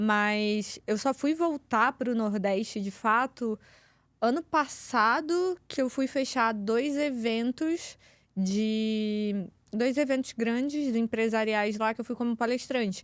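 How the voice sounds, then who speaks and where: On a very clean, dry, close recording with no echo and a silent background, a woman with a fairly high pitch speaks at a fairly slow pace with ordinary pitch variation. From Rio de Janeiro, Brazil. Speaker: communication and public speaking coach. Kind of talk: podcast interview.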